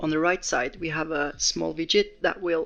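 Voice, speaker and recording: Moderate-paced speech from a man, backed by music. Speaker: crypto project developer. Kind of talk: software update walkthrough.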